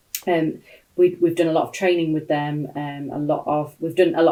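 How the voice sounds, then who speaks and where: A woman speaks with a British accent and a dark, mellow tone. Her intonation is monotone and flat. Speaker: sales trainer. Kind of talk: live-stream talk. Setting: home office, livestream. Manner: loud.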